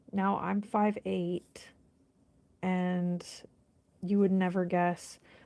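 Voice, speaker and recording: Spoken with an American accent, the voice stays flat and monotone, moving at a very slow pace with long, frequent pauses. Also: woman, medium pitch for a woman. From United States. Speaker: nail art vlogger. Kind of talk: casual chat.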